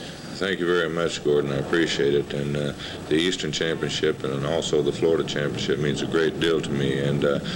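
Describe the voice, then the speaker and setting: Against noticeable background noise, a man talks fairly quickly in a very deep, low pitch with a monotone, flat intonation. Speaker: professional wrestler. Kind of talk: wrestling promo interview answer.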